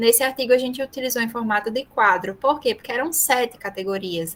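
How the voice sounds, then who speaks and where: A woman with a high voice and ordinary pitch variation speaks at a fairly quick pace. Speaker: university professor and research methods speaker. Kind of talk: online lecture.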